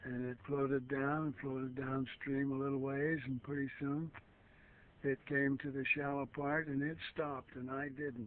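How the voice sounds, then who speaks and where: This man's voice is fairly high in pitch, with monotone, flat intonation. He talks at a moderate pace. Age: 90s. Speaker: elderly storyteller. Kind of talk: oral history recollection. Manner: halting, many fillers.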